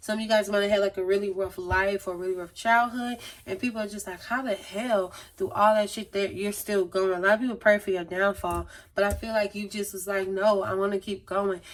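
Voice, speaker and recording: A woman's fairly quick speech in a monotone, flat intonation. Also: medium pitch for a woman. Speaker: tarot reader. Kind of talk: tarot reading monologue. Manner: fast.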